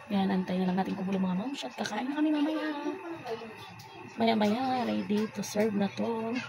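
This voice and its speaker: Amid noticeable background noise and audible room echo, a woman speaks at medium pitch and a moderate pace with lively intonation. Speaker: cooking vlogger. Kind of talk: casual cooking vlog. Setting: outdoors. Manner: halting.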